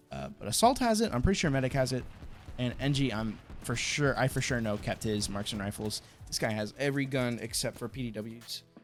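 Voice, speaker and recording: Over music in the background, a man with an American accent talks at a fairly quick pace and medium pitch with ordinary variation. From United States. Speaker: gaming YouTuber. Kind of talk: live gameplay commentary. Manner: stuttering, repeating words; casual, filler-heavy.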